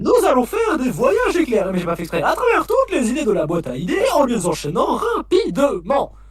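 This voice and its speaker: A man's put-on character voice, extremely high in pitch, at a fairly quick pace with light background noise. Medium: fan dub. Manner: theatrical, showman-like.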